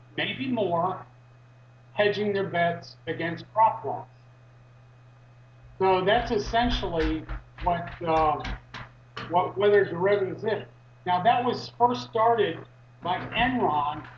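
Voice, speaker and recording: Amid noticeable background noise and audible room echo, the speaker goes at a very slow pace with long, frequent pauses and ordinary pitch variation. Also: man, high pitch for a man. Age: 60s. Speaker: activist. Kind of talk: interview. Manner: halting, many fillers.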